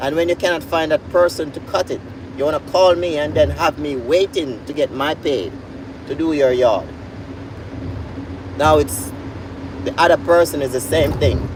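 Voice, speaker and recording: With a Jamaican accent, a man speaks in a fairly high voice at a moderate pace with lively intonation and long, frequent pauses over noticeable background noise. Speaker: YouTuber and lawn care worker. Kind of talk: casual vlog monologue. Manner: animated storytelling.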